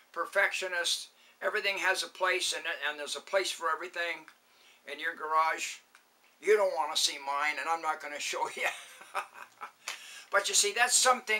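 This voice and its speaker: A man speaks in a raised, projected voice at a moderate pace. His pitch variation is ordinary. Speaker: vlogger. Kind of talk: casual vlog chat. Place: garage. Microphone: camera far.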